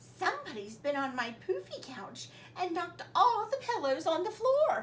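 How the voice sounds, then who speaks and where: Putting on a character voice, a woman speaks at a moderate pace with an extremely high pitch and very wide pitch swings, over clear background noise. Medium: read story.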